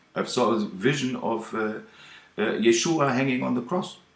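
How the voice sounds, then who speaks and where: Lively intonation marks this man's speech in a German accent. His pitch sits at a medium level. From Germany. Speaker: ministry video maker. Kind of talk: video message. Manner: halting.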